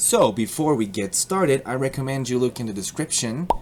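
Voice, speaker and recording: A man's pitch varies in an ordinary way as he speaks at a moderate speed, noticeable noise sounding behind him. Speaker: YouTube tutorial maker. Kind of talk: tutorial. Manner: animated, playful.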